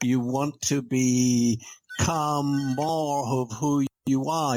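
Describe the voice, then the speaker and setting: Music plays in the background as a man speaks. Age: 70s. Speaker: author and speaker on values in business. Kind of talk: interview.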